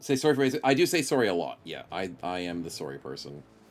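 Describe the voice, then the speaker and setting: Medium-pitched male voice with vocal fry, very wide pitch swings and a very fast pace. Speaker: game streamer. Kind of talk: casual chat. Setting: live stream.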